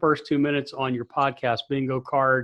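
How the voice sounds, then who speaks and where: A man speaks at a moderate pace with a medium-pitched, ordinary speaking voice. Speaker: sports PA announcer and consultant. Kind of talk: interview.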